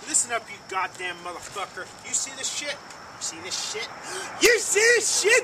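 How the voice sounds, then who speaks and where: Over noticeable background noise, a man speaks with an extremely high pitch, very wide pitch swings, and big swings in loudness. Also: moderate pace. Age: 20s. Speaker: YouTube vlogger. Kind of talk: angry rant to camera. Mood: aggressive, cursing rant. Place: street. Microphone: phone near.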